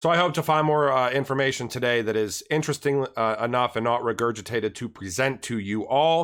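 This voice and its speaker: On a very clean recording with a silent background, a man at medium pitch speaks with ordinary pitch variation. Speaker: crypto YouTuber. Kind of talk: casual commentary video. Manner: casual, filler-heavy.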